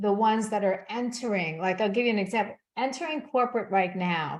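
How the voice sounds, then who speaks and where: A woman speaks at a medium pitch. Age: 60s. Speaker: success coach. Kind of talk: casual chat. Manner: halting.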